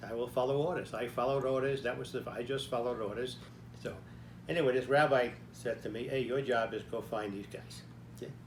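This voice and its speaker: A man's voice with vocal fry and audible room echo. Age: 90s. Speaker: army veteran and author. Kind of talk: personal storytelling. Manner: conversational, frequent "okay?" fillers.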